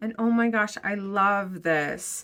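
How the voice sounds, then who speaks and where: Noticeable background noise sits behind this woman as she talks. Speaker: book unboxing youtuber. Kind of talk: unboxing review. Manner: careful, sometimes mispronouncing.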